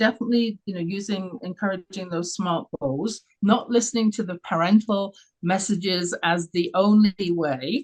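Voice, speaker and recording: A woman speaks in a London accent at medium pitch, with lively intonation and a moderate pace. Her voice is somewhat breathy, and the sound is dry and close with no echo. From England, London. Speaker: radio show host, confidence coach. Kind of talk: interview. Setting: live radio stream.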